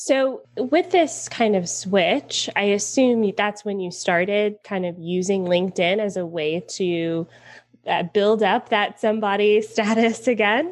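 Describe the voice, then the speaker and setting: With an American accent, a woman talks at a fairly slow pace in an ordinary speaking voice, her medium pitch showing ordinary variation. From US South, Atlanta. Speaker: podcast host. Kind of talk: interview.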